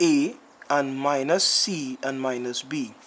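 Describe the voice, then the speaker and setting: With noticeable background noise behind him, a man talks with ordinary pitch variation. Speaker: math teacher. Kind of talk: tutorial.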